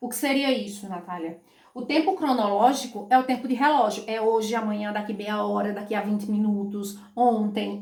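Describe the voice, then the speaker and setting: A woman's fairly high voice with ordinary pitch variation, an animated tone and a moderate pace, over noticeable background noise. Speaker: school teacher. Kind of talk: online lesson.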